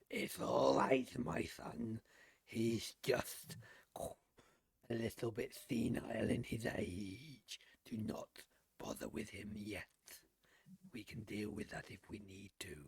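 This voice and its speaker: A man puts on a raspy character voice at medium pitch. He speaks fairly slowly, with long, frequent pauses. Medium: actual play. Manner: formal, calm.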